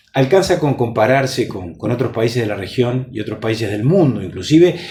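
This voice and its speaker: A man's fairly quick, lively-intoned speech against noticeable background noise. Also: medium pitch for a man. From Uruguay. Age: 50s. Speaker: politician. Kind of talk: interview. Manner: measured, formal with frequent hesitations.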